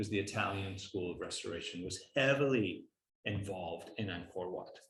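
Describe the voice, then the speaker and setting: Vocal fry marks a man's voice. He talks at a moderate pace. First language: not English. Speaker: architecture professor. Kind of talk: lecture Q&A. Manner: halting, many fillers.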